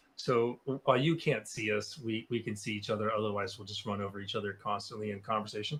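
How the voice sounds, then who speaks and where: A man talks at a very fast pace with a fairly low pitch and fairly even intonation. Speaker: martial arts instructor. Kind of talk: casual chat. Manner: loud.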